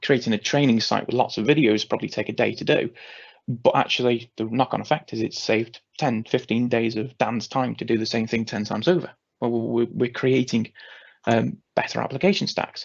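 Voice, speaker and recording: Fairly quick and fairly even in intonation, a man's medium-pitched voice comes with vocal fry. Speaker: cloud communications specialist presenting a webinar. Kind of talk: webinar presentation. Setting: online webinar. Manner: fast; halting, many fillers.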